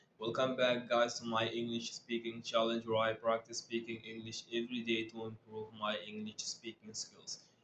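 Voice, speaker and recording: Over noticeable background noise, a man talks at a moderate pace with hardly any pauses, his medium pitch held in a flat monotone. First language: Arabic. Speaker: English learner vlogger. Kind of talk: casual talk to camera. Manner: halting, with frequent repetitions and fillers.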